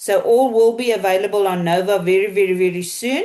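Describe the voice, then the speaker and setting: A woman with a South African accent and fairly even intonation. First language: Afrikaans. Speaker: team leader at a marketing company. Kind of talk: online business Q&A call. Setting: video call.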